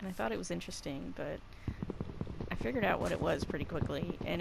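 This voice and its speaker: With audible room echo and noticeable background noise, a woman speaks. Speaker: gaming YouTuber. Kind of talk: let's play commentary. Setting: at home recording from game console. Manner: casual, conversational.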